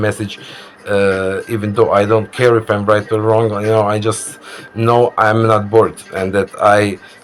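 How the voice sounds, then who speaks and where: A man speaks at a moderate pace in a fairly low voice with flat, monotone intonation. Noticeable background noise runs behind him. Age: 30s. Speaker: vlogger. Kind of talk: casual monologue. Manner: halting, many fillers.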